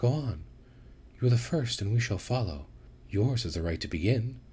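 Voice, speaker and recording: Clear background noise behind an assumed character voice. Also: man, medium pitch for a man, moderate pace. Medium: read story. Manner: seductive, teasing.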